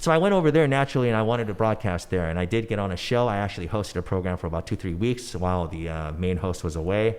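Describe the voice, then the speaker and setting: At a very fast pace with hardly any pauses, a man speaks in an animated tone with lively intonation. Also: fairly low pitch for a man. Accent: Californian. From Los Angeles, San Fernando Valley. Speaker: former pop singer and news anchor turned entrepreneur. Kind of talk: podcast interview. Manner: casual, animated.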